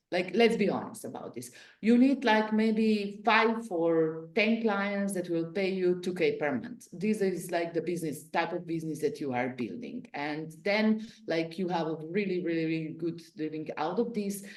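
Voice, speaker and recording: Audible room echo carries a woman's medium-pitched voice with lively intonation. She keeps a moderate pace with hardly any pauses. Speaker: business strategy consultant. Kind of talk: interactive Q&A session. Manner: casual, filler-heavy.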